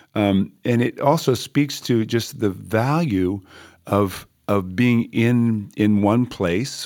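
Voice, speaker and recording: Here a man speaks at a fairly low pitch with a warm tone and ordinary pitch variation. The recording is very clean, with a silent background. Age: 60s. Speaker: church music leader and pastor. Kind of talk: casual podcast discussion. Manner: warm, hesitant with fillers.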